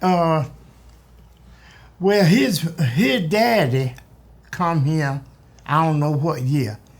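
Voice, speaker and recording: With lively intonation and long, frequent pauses, a man speaks at a very slow pace and a fairly high pitch. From US South. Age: 80s+. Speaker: oral history interviewee. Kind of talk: oral history interview.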